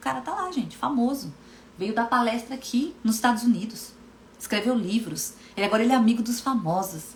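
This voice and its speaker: In a Brazilian accent, a woman speaks fairly quickly and fairly high, animated with lively intonation, amid noticeable background noise and audible room echo. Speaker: hypnotherapist and coach. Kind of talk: live stream talk. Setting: Instagram live stream.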